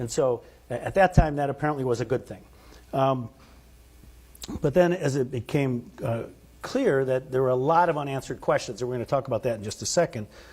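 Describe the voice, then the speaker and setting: A man's medium-pitched, somewhat breathy voice at a fairly quick pace with ordinary pitch variation. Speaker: physician and medical director presenting research. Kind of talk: conference presentation. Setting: conference room with live audience. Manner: soft-spoken; halting, many fillers and restarts.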